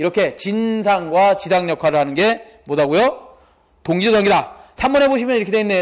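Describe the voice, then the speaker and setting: Noticeable background noise sits behind a man talking at a fairly quick pace, his high pitch showing ordinary variation. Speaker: exam prep lecturer. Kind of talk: lecture. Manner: fast; rhetorical questions, conversational.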